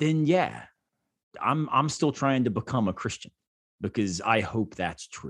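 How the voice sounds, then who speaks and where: Over a very clean recording with a silent background, a man at medium pitch speaks fairly slowly with vocal fry, lively intonation and long, frequent pauses. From Florida, US South. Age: 40s. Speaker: philosopher. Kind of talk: casual chat.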